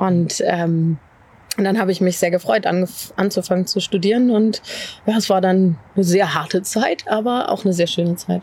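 A woman's unremarkable speaking voice at a medium pitch, with ordinary pitch variation, very even loudness and a moderate pace. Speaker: pastor. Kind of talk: casual interview chat.

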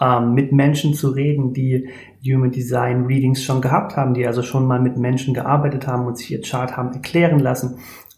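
A man speaks at a medium pitch with a flat, monotone delivery. The room echo is audible. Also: fairly quick pace. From Germany, near Speyer (Palatinate). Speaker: human design coach. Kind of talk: podcast interview.

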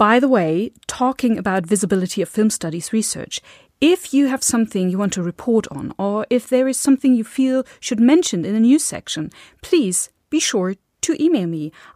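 A woman with a German accent talks at a moderate pace, her fairly high pitch swinging very widely, in a dry, close sound with no echo on a very clean recording with a silent background. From Germany. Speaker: podcast host and film scholar. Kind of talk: scripted podcast introduction.

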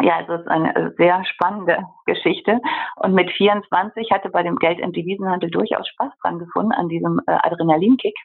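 The speech comes at a moderate pace with noticeable background noise. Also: woman. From Germany, Bergisches Land. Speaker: interior architect. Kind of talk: interview.

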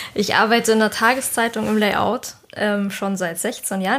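With noticeable noise behind her, a woman's fairly high voice holds a mostly level tone. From southern Germany. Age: 30s. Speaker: layout designer. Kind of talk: casual chat.

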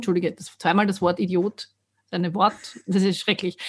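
A woman speaks at a fairly quick pace. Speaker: podcast co-host, voice coach and singer. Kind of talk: casual chat. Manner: fast when excited.

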